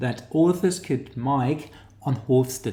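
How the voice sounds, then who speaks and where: Audible room echo surrounds a man speaking with lively intonation in a strong New Zealand accent. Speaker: academic teaching research methods. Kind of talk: online lecture tutorial. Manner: hesitant, many fillers.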